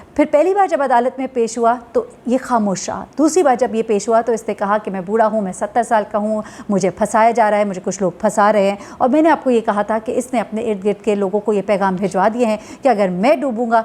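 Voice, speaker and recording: The woman's pitch is fairly high, with ordinary pitch variation. She talks at a moderate pace. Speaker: news journalist, YouTube commentator. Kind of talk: news commentary. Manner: conversational, frequent hesitations.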